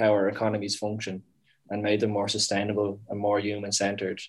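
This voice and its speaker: A man with a Dublin accent, fairly low-pitched and monotone, over a quiet background. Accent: Dublin Irish. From Dublin, Ireland. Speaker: startup founder and CEO. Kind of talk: casual interview conversation.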